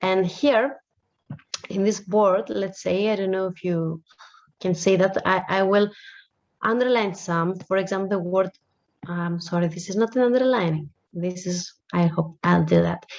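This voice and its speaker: Speaking at medium pitch and a moderate pace with a Greek accent, a woman uses ordinary pitch variation and long, frequent pauses. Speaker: language teacher. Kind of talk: lecture.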